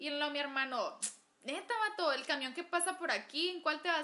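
A raised, projected voice at a fairly quick pace with lively intonation. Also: woman. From Agua Prieta, Sonora, Mexico. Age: 20s. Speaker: gastronomy student. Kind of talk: casual chat.

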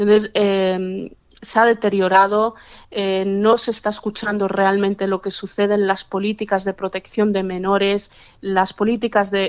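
The speech moves at a very slow pace in a flat monotone. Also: woman. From Catalonia, Spain. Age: 40s. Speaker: activist against forced marriage. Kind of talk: interview. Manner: halting, many hesitations.

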